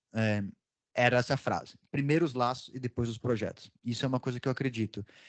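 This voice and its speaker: Here a man talks at a medium pitch. The sound is dry and close, with no echo. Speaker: panel speaker on volunteering. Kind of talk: conference talk. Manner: fast.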